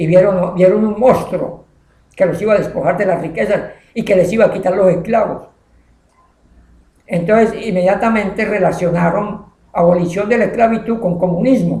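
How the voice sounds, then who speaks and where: A high male voice with fairly even intonation, at a moderate pace with long, frequent pauses. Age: 70s. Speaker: teacher. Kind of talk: informal history storytelling. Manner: hesitant, halting.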